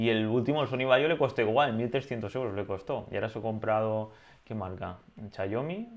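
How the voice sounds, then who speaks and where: A man's plain, everyday voice at a medium pitch, with a moderate pace and ordinary pitch variation. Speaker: drone podcast co-host. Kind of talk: casual chat.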